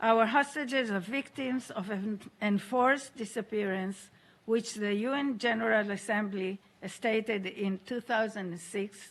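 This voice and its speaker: At a fairly slow pace, a woman talks in an ordinary speaking voice, her medium pitch showing ordinary variation. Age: 60s. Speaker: hostage survivor and aid organization founder. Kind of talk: testimony. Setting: UN Security Council meeting. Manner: formal.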